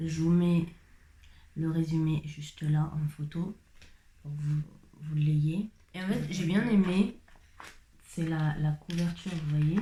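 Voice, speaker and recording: A woman with a very deep, low voice and a dark, mellow tone speaks at a very slow pace, somewhat breathy, with fairly even intonation and long, frequent pauses. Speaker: vlogger. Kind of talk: casual talk to camera. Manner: chatty.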